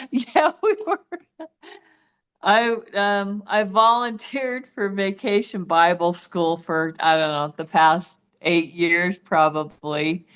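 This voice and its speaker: Very slowly, a woman talks at a medium pitch and uses ordinary pitch variation. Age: 60s. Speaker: program member. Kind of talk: casual chat. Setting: video call.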